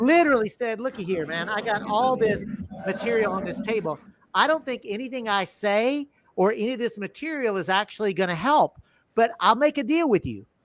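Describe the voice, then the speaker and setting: With a Texas accent, a man speaks at a fairly quick pace in an animated tone. His high pitch carries lively intonation. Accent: Southern US (Texas). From US South, Texas. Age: 60s. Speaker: podcast host. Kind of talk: casual interview chat. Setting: live stream. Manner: animated storytelling.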